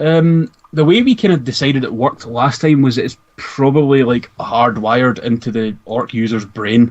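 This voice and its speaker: In a Scottish accent, the speaker moves at a moderate pace with ordinary pitch variation and hardly any pauses. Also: man, medium pitch for a man. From Scotland. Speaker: podcast co-host discussing Warhammer lore. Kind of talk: casual chat.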